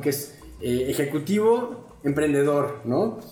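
A man with a fairly high pitch talks amid noticeable background noise, his voice ringing with audible room echo. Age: 30s. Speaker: podcast host. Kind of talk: casual interview. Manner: halting, with many fillers.

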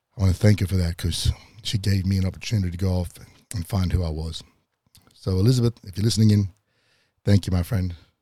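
Very deep, low-pitched man's voice, dark and mellow and somewhat breathy, at a very fast pace broken by long, frequent pauses. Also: fairly even intonation. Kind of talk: personal storytelling monologue. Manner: casual, with frequent fillers.

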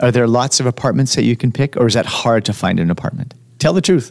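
A man with a Canadian accent talks at a fairly quick pace. It is an unremarkable speaking voice with ordinary pitch variation. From Quebec, Montreal. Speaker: podcast host. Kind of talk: casual interview. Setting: studio.

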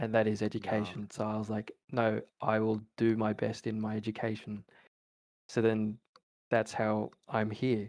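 In an Australian accent, a man speaks with a fairly low pitch and monotone, flat intonation. His moderate pace is broken by long, frequent pauses. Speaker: university student. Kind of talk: casual chat.

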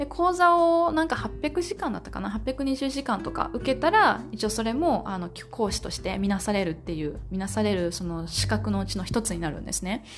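A woman's moderately paced speech comes with music in the background. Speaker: podcast host and online language teacher. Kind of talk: solo podcast monologue. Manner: casual, with filler words.

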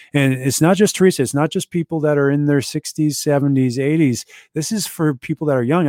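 In a very clean recording with a silent background, a man talks at a fairly quick pace in a fairly high voice with a dark, mellow tone. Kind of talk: infomercial-style sales pitch for a chiropractic offer. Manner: urgent, persuasive, pushy call to action.

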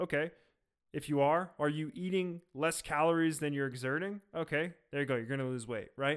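In a very clean recording with a silent background, a man with a normal speaking voice talks at a moderate pace, fairly high in pitch, with ordinary pitch variation. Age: 20s. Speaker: podcast host, software engineer. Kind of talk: solo casual talk.

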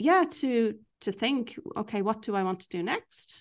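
Against a quiet background, a woman speaks at a fairly slow pace with an Irish accent. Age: 40s. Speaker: life coach. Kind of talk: casual chat.

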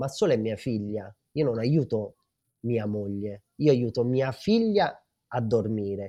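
A man's medium-pitched voice, dark and mellow in tone, at a very slow pace over a quiet background. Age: 30s. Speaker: father of two, parenting social media creator. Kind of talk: casual chat.

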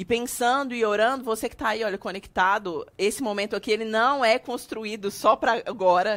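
A woman with a plain, everyday voice talks at a fairly quick pace, with a fairly high pitch and ordinary pitch variation, on a very clean recording with a silent background. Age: 30s. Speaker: podcast host, church minister. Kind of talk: casual chat.

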